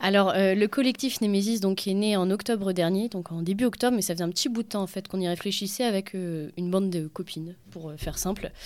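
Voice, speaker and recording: Here a woman talks at a fairly quick pace and a medium pitch, with ordinary pitch variation. She has a normal speaking voice, and the recording is very clean with a silent background. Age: 20s. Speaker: feminist collective activist, social worker. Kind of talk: radio interview.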